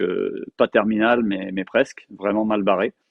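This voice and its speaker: A man is speaking at a fairly slow pace. His pitch sits fairly low. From France. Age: 50s. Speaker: martial arts teacher. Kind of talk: interview testimony. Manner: halting, many fillers and repetitions.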